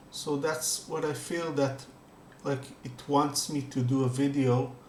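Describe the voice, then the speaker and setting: A man's fairly high voice with fairly even intonation, audible room echo and noticeable background noise. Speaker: spiritual meditation youtuber. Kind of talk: casual talk before guided meditation. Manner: halting, many fillers; calm.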